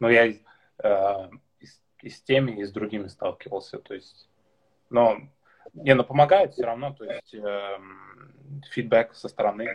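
A man talks at a moderate pace and medium pitch, with ordinary pitch variation, big swings in loudness and long, frequent pauses. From Tatarstan, Russia. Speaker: podcast host, blogger. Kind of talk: livestream interview. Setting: on his balcony, live video stream. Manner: halting.

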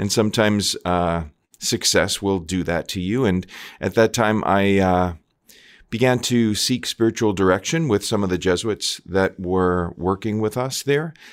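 Speaking with an American accent and an ordinary speaking voice, a man with a fairly low pitch talks at a fairly slow pace with ordinary pitch variation on a very clean recording with a silent background. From US Northeast (Long Island, New York). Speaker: Jesuit priest and theater professor. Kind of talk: interview conversation. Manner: thoughtful with frequent fillers.

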